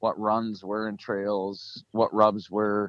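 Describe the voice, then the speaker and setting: Speaking at a fairly slow pace, a man with an American accent has an unremarkable speaking voice at a medium pitch. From central Michigan. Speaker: hunter and hunting video producer. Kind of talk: casual interview chat.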